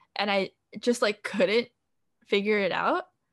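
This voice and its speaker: The speaker uses a General American accent at a moderate pace. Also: woman. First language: Korean. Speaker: podcast co-host. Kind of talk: casual chat. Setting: bedroom with open window, truck noise.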